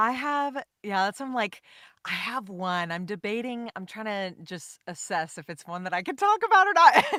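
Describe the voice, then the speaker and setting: Speaking at a moderate pace with an American accent, a woman of medium pitch uses very wide pitch swings in a bright, sharp tone. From Texas. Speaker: voice actor. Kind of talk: interview answer. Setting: online call.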